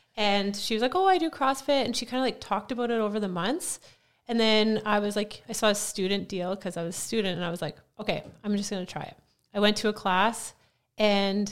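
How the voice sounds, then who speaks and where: With a Canadian prairie accent, a woman speaks at a fairly quick pace in a medium pitch, using ordinary pitch variation. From Saskatchewan, Canada. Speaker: gym coach. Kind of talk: casual interview chat.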